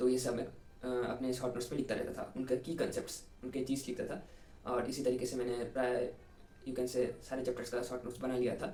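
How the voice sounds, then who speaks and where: A man at a medium pitch, monotone and flat in intonation at a moderate pace, with audible room echo and noticeable background noise. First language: Bengali (speaking Hindi). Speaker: engineering student, exam topper. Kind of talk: interview, study advice. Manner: halting, many fillers.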